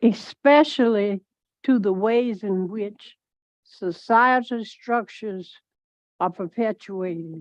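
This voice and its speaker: Heard with dry, close sound with no echo and a quiet background, a woman speaks with ordinary pitch variation. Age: 80s. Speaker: retired teacher, public commenter. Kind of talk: public comment at school board meeting. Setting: school board meeting room. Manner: animated.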